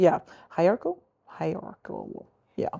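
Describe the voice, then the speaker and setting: With a Northern Irish accent, a woman talks at a moderate pace in a fairly low pitch. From Northern Ireland. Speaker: youth leader. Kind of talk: casual chat.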